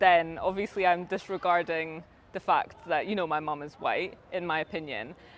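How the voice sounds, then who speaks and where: A woman with a fairly low pitch and a Scottish accent. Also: big swings in loudness. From Scotland. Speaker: YouTuber. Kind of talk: interview.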